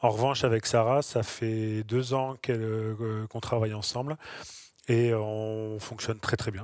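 A man speaks in a monotone, flat intonation. The recording is very clean, with a silent background. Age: 40s. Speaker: nurse. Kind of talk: interview. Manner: halting, with frequent repetitions and fillers.

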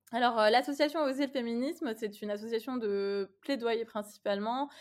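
A woman's unremarkable speaking voice at a fairly slow pace with fairly even intonation, on a very clean recording with a silent background. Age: 30s. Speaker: lawyer and feminist activist. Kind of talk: interview conversation.

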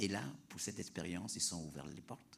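With audible room echo around him, a man speaks in a very deep, low pitch with ordinary pitch variation. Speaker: leader of an international youth climate education project. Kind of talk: panel talk. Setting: planetarium with audience.

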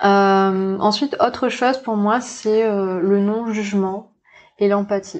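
At a very slow pace, a woman speaks with a medium pitch and fairly even intonation. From New Caledonia. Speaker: naturopath and intuitive therapist. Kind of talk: casual interview. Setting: in person studio. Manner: hesitant, many fillers and repetitions.

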